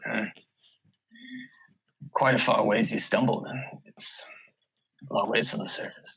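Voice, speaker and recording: A man uses a put-on character voice, raspy and at a medium pitch. He keeps a moderate pace broken by long, frequent pauses. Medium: actual play. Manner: smug, condescending.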